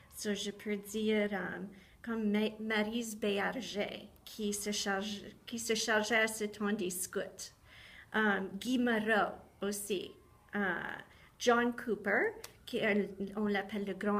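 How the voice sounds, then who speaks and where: Very slow, monotone, flat delivery with long, frequent pauses. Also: woman. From southwestern Ontario, Canada. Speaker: teacher. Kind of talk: personal testimony talk.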